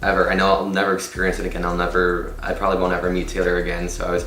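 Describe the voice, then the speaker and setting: Noticeable background noise and audible room echo surround this man's voice. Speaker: vlogger. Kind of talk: story time vlog; casual chat. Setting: in a car. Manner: animated.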